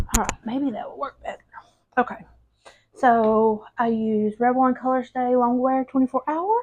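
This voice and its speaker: The speaker has a Southern US accent and a moderate pace. Pitch moves in an ordinary way. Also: woman, high pitch for a woman. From Alabama. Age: 30s. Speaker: lifestyle vlogger. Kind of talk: casual get-ready-with-me vlog. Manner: chatty, informal. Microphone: new mic, might sound wonky.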